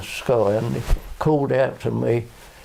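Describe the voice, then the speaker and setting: A man with a Southern English accent against noticeable background noise. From Kenley area, England. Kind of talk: oral history interview answer.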